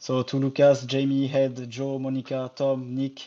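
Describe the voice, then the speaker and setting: A man with a French accent speaks at medium pitch. His tone is dark and mellow, and his pace is moderate. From France. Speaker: tennis journalist and podcast co-host. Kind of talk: casual chat. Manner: halting.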